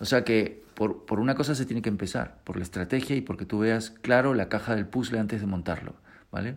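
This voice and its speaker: A man with an unremarkable speaking voice, fairly quick pace and ordinary pitch variation, on a very clean recording with a silent background. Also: medium pitch for a man. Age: 40s. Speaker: guitar teacher and podcast host. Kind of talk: casual monologue.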